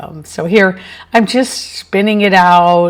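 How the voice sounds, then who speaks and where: A woman speaks with ordinary pitch variation. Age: 60s. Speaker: fluid art hobbyist YouTuber. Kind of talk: tutorial voice-over. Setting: home studio voice-over. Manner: casual, hesitant with fillers.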